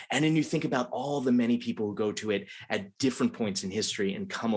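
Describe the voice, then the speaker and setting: A man talks at a fairly quick pace with a slight Philadelphia accent. His pitch is medium, with ordinary variation. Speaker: college dean and literature professor. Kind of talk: moderated conversation.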